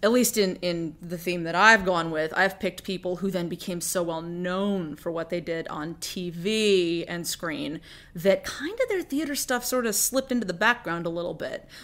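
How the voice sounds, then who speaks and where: The speech moves at a moderate pace with hardly any pauses and ordinary pitch variation. The recording is very clean, with a silent background. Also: woman, medium pitch for a woman. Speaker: podcast co-host and actor. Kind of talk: casual chat. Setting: bedroom. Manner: animated.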